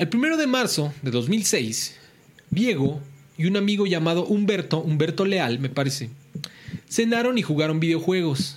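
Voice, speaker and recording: A man's high voice with lively intonation at a moderate pace, with noticeable background noise and audible room echo. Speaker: podcast host. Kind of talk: true-crime storytelling. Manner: casual, slangy.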